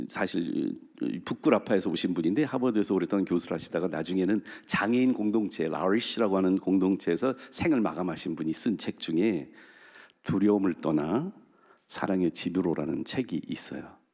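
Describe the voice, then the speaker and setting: A man's very deep, low voice with ordinary pitch variation and a moderate pace. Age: 60s. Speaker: pastor. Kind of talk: sermon. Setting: church. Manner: conversational.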